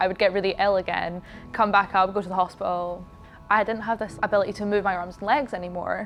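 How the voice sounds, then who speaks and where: With music in the background, a woman talks at a very fast pace in a monotone, flat intonation. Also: medium pitch for a woman. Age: young. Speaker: dance student and competitive figure skater. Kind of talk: interview answer. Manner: casual.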